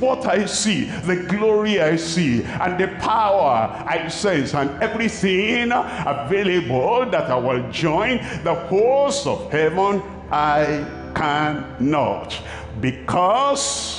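In audible room echo with light background noise, a man talks at a very slow pace. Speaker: preacher. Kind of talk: sermon. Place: stadium. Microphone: headset.

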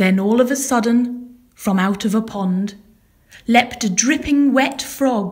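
Someone reads aloud in a natural voice. Pitch variation is ordinary.

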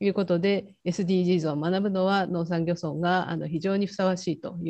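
Against a quiet background, a woman with a fairly low pitch and a dark, mellow tone talks at a moderate pace with fairly even intonation. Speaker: university professor, session coordinator; university professor. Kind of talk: conference session report. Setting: video call. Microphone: video call.

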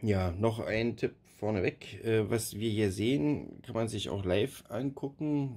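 A man speaks very slowly in a dark, mellow tone. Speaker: robot lawn mower project developer. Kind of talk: tutorial walkthrough. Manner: monotone, hesitant with filler sounds.

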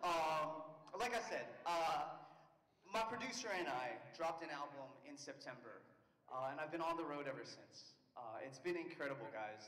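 The speaker keeps a moderate pace with lively intonation. Audible room echo and light background noise are present. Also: man. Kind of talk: stage banter to audience. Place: stage. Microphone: handheld.

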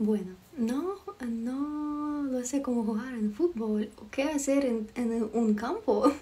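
A woman's high-pitched voice in a Ukrainian accent, very slow, with ordinary pitch variation and big swings in loudness. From Ukraine. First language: Ukrainian (speaking Spanish). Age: 20s. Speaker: livestreamer. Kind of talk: live stream chat with viewers. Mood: friendly, playful. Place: home room. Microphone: phone near.

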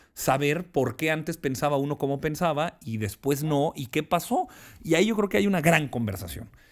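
Quiet background, a man with a Mexican accent, fairly high pitch, moderate pace. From Mexico. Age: 30s. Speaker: politician. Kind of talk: interview. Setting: studio. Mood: reflective, calm. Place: studio. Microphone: studio mic.

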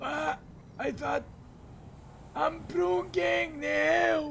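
A man uses a put-on character voice, strained and fairly high in pitch. Clear background noise runs behind him.

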